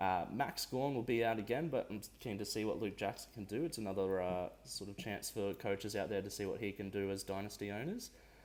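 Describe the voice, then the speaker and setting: A man talks at a fairly quick pace with an Australian accent. His pitch is fairly low, with ordinary variation. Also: hardly any pauses. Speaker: fantasy sports podcast co-host. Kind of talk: casual chat.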